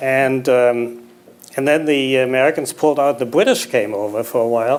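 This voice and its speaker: A man's medium-pitched voice with a slight German accent, fairly even intonation and a moderate pace. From Germany, Berlin. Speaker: memoir author, businessman. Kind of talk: on-stage interview.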